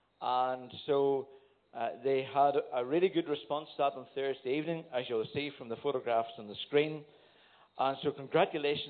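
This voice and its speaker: A man with a Northern Irish accent talks at a moderate pace, his fairly high pitch carried by fairly even intonation. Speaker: church elder giving announcements. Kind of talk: church announcements. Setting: church.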